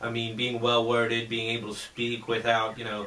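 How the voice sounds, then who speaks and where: Through audible room echo and noticeable background noise, a man speaks at a medium pitch. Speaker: YouTuber interviewing a guest. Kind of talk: casual interview. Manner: loud.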